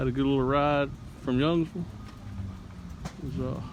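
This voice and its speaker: A man talks at a fairly quick pace and medium pitch. His intonation is lively, with a slight Southern US accent. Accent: slight Southern twang. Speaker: motorcycle vlogger. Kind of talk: casual vlog narration. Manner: halting, many fillers.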